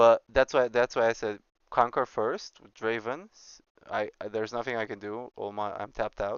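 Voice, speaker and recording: Medium-pitched speech from a man in a Romanian accent, at a moderate pace with fairly even intonation and big swings in loudness. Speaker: streamer and astrophysics teacher. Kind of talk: casual chat while gaming on stream. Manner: halting.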